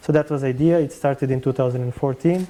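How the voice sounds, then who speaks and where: A man talks at a very fast pace in a Serbian accent. His pitch is fairly high and his intonation fairly even. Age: 30s. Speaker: film director. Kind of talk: interview. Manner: halting.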